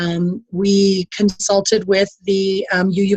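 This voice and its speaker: Music plays in the background. A woman with an American accent speaks at a medium pitch. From US Midwest, Hudson, Wisconsin. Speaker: immigration lawyer, nonprofit head. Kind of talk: panel presentation on a call. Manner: hesitant, many ums.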